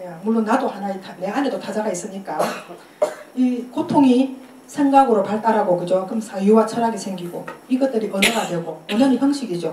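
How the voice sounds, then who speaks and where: Amid noticeable background noise and audible room echo, a woman speaks at a fairly quick pace in a fairly high pitch with ordinary pitch variation. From Korea, Busan. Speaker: poet giving a lecture. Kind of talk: lecture. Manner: fast.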